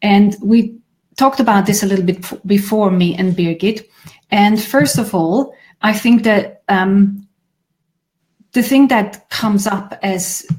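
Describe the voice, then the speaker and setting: A woman with a medium pitch and a somewhat breathy voice speaks at a fairly slow pace with ordinary pitch variation and long, frequent pauses. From Switzerland. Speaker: grief therapist. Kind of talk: conversational video discussion.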